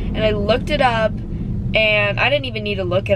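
A woman is heard over loud background noise. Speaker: vlogger. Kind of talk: casual vlog chat. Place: car. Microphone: phone near.

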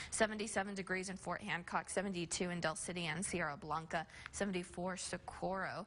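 A woman's medium-pitched, monotone, flat delivery at a fairly slow pace, over light background noise. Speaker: TV meteorologist. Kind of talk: weather forecast. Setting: studio. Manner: conversational. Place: studio.

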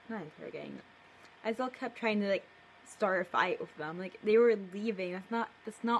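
Natural voice, reading aloud

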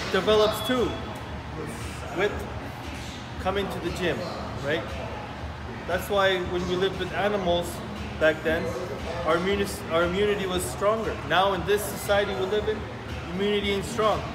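Clear music plays in the background as a man speaks at a moderate pace with long, frequent pauses. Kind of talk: casual vlog chat. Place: gym. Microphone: phone near.

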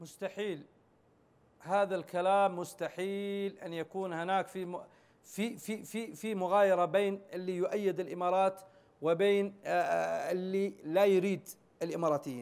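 Speaking at a fairly slow pace, a man keeps a high pitch and a fairly even intonation. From Yemen, Socotra; Yemen. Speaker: interview guest. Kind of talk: TV interview. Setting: satellite link. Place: studio.

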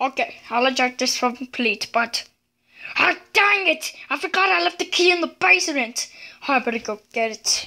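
The voice is raised and projected, with a bright, sharp tone. It moves at a moderate pace through very wide pitch swings. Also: woman. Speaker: toy storyteller. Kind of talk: playful toy role-play narration. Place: home room. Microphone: phone near.

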